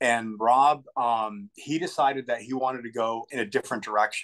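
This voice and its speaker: Moderate pace and fairly even intonation from a man, with a quiet background. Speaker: guest. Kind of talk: interview answer. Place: home room. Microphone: video call.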